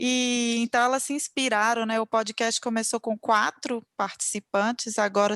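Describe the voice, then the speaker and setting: A woman's fairly high voice comes at a fairly slow pace with fairly even intonation. The sound is dry and close, with no echo. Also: quiet background. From Minas Gerais, Brazil. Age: 40s. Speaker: podcast host. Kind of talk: casual chat.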